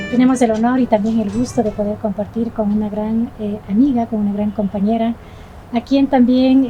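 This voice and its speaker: A woman speaks with a fairly high pitch and monotone, flat intonation. Noticeable background noise is present. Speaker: podcast host. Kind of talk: podcast interview host.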